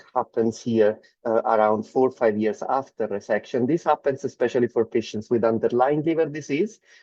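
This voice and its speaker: In a dry, close recording with no echo and a quiet background, a man with an Italian accent talks at a moderate pace in a dark, mellow, medium-pitched tone with ordinary pitch variation. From Italy. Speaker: medical oncologist. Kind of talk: lecture.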